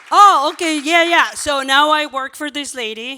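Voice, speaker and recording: A woman's raised, projected voice in a Mexican accent, bright and sharp in tone, animated, at a moderate pace with ordinary pitch variation. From Mexico. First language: Spanish. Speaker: former abortion clinic worker, pro-life ministry worker. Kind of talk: conference panel talk. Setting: stage with audience.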